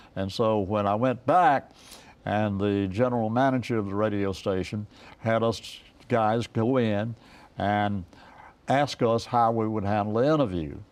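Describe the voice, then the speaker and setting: A man speaks with an Eastern North Carolina accent at a fairly slow pace. His pitch is fairly low, with ordinary pitch variation. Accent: Eastern North Carolina Southern US. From rural Eastern North Carolina. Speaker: retired radio broadcaster and station owner. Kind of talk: interview answer. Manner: conversational, hesitant.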